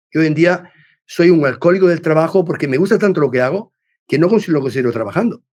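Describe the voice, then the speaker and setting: Lively intonation at a very fast pace over a quiet background. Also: man, high pitch for a man. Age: 60s. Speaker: business executive and mentor. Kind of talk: podcast interview. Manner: halting, many repetitions and false starts; talkative.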